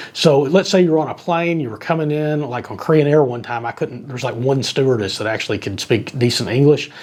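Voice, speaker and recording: Against noticeable background noise, a man with a fairly high pitch talks at a fairly quick pace with hardly any pauses and ordinary pitch variation. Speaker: travel vlogger. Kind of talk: product review. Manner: fast; casual.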